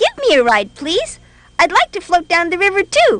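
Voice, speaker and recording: This put-on character voice is squeaky and extremely high. It moves at a moderate pace. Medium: read story.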